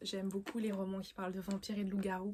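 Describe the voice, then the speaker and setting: A woman's somewhat breathy voice. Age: young. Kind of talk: casual vlog about books. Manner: hesitant, many fillers.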